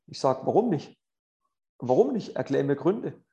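Lively in intonation and fairly quick in pace, a man talks with a dark, mellow tone and vocal fry. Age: 40s. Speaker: tennis coach and podcast host. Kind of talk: casual interview with tips. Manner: animated.

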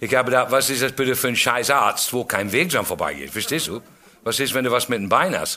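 In an English accent, a man speaks at a medium pitch. His pace is very fast. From England. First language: English (speaking German). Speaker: comedian. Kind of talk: stand-up.

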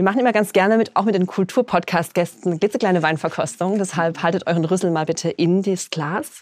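A woman's fairly quick delivery with hardly any pauses, an ordinary speaking voice, medium pitch, and ordinary pitch variation. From Palatinate, Germany. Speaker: podcast host. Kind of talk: casual chat. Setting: recording room.

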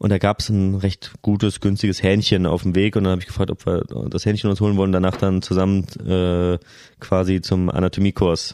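Very deep and low, a man's dark, mellow voice moves at a fairly quick pace with monotone, flat intonation and very even loudness. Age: 30s. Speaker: family doctor. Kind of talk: casual chat.

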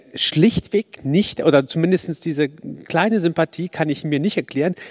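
A man talks at a moderate pace in an ordinary speaking voice, fairly high in pitch with ordinary variation. The sound is dry and close, with no echo. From Poland. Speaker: audience member. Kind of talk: audience question. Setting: stage with audience.

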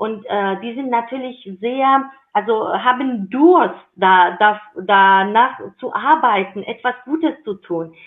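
Lively intonation and big swings in loudness, in a Georgian accent. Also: woman. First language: Georgian (speaking German). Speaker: intercultural career advocate. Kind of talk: interview.

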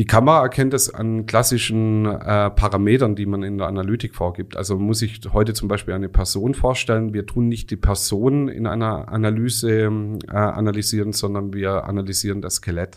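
In a normal speaking voice, a man talks at a fairly quick pace with hardly any pauses, a fairly low pitch and fairly even intonation. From Swabia, Remstal (Baden-Württemberg). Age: 40s. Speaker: video software industry expert. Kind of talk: expert interview.

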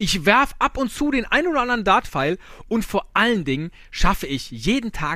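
A man's raised, projected voice with a bright, sharp tone, a Rhineland accent, very wide pitch swings and a fairly slow pace. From Rhineland, Germany. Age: 40s. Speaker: podcaster, quiz contestant. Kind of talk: recorded game-show answers.

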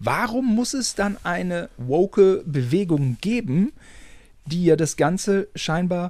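Very slow, high-pitched male speech, marked by very wide pitch swings. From Germany. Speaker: podcast co-host. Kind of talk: casual chat.

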